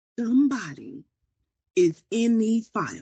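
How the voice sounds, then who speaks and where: Somewhat breathy, a woman speaks at a fairly high pitch. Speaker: online psychic news host. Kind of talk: casual psychic prediction monologue. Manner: hesitant, many fillers.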